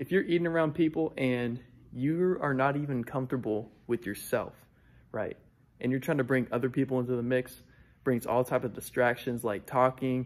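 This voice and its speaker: Pitch varies in an ordinary way as a man talks at a moderate pace. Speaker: vlogger. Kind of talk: casual vlog chat. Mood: relaxed, sometimes laughing. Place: hall. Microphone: phone near.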